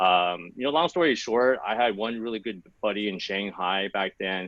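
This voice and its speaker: The speaker has an unremarkable speaking voice with an American accent. Pitch varies in an ordinary way. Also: man, fairly low pitch for a man, moderate pace. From Los Angeles, California, US. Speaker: sourcing consultant. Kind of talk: podcast interview. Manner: casual, many fillers.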